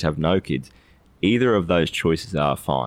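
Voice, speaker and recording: A man speaks fairly quickly with an Australian accent. His pitch is very deep and low, with vocal fry. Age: 30s. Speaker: financial advisor. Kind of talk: casual chat.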